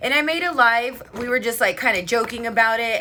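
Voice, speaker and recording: Her voice raised and projected, a woman speaks in an animated tone with lively intonation. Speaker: beauty livestreamer. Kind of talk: casual livestream chat. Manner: loud.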